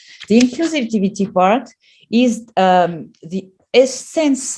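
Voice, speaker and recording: A woman with a non-native accent and a dark, mellow tone, her pitch swinging very widely. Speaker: professor. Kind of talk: lecture. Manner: halting, many fillers.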